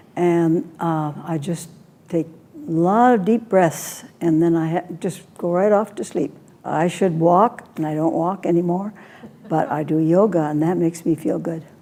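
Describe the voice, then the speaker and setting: Speaking fairly slowly over noticeable background noise, a woman has a fairly low pitch and ordinary pitch variation. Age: 80s+. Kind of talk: interview answer. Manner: casual, hesitant.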